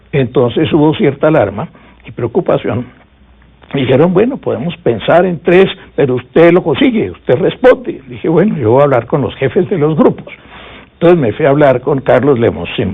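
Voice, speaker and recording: This man's pitch is fairly high and swings very widely. His pace is moderate. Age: 70s. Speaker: veteran politician and former constitutional assembly member. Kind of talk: interview, storytelling.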